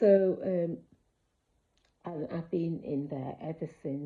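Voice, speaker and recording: A woman speaks at a very slow pace. Her voice is somewhat breathy. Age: 60s. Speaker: ex-member sharing her story. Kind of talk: personal testimony to camera. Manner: hesitant, many fillers.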